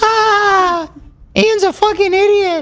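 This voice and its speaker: A put-on character voice, squeaky and extremely high in pitch. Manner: mocking.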